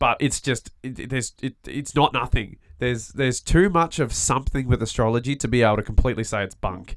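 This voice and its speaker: Here a man speaks at a very fast pace and a medium pitch. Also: ordinary pitch variation. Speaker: podcast host. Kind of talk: casual chat. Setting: studio.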